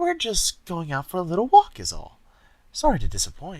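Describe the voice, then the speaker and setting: In a put-on character voice, a man speaks at a high pitch and a moderate pace. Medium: read story. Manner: crooning, posh.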